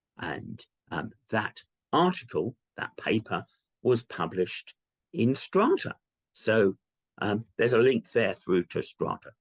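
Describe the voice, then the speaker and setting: A man with a British accent at a fairly slow pace, long and frequent pauses, and a dry, close sound with no echo. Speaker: archaeology professor. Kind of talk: lecture. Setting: virtual lecture. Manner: hesitant, many ums.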